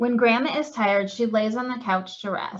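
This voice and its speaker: Somewhat breathy and fairly high-pitched, a woman talks at a fairly quick pace. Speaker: client services coordinator at a cancer wellness center. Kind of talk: children's storybook reading.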